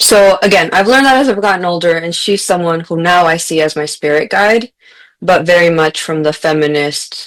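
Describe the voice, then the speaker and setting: A woman speaks at a moderate pace with fairly low pitch and lively intonation. The recording is very clean, with a silent background. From US-Mexico border region, Mexican-American family. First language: Spanish. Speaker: author and teacher, podcast guest. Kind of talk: casual interview chat. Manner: conversational, some false starts.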